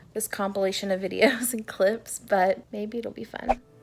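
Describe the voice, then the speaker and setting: At a moderate pace, a woman speaks at a medium pitch over noticeable background noise. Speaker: lifestyle vlogger. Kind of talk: vlog to camera. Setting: co-working space. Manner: whispering.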